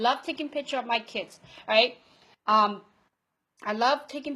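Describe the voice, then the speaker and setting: In a non-native accent with ordinary pitch variation, the speaker is heard on a very clean recording with a silent background. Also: woman. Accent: foreign accent, non-native English. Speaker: online marketing coach. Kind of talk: live video training talk. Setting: Facebook Live broadcast.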